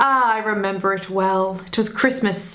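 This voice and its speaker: With audible room echo, a woman speaks at medium pitch and a moderate pace, her intonation fairly even. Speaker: film review youtuber. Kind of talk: personal storytelling to camera.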